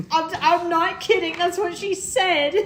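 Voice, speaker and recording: A woman speaks at a fairly slow pace in a put-on character voice with an extremely high pitch, and background noise is clearly audible. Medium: actual play.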